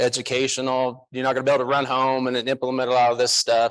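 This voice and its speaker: A man with an American accent talks at a fairly quick pace against a quiet background. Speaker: tax strategist, conference speaker. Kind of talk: conference talk. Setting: stage with audience. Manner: casual, joking.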